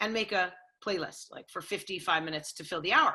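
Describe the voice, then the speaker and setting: In a Californian accent, a woman speaks at a fairly quick pace with a bright, sharp tone. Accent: Californian American. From Los Angeles. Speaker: sports radio host. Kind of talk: interview.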